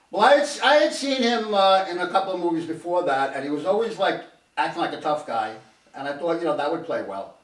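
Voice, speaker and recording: Audible room echo surrounds a man who talks at a very fast pace in a high voice with very wide pitch swings. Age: 60s. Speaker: show co-host. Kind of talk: casual chat. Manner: halting.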